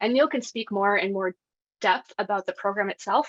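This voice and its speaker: Her tone is bright, sharp and energetic. The woman's pitch varies in an ordinary way. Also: dry, close sound with no echo. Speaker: bike education program staff. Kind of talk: webinar presentation. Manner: fast.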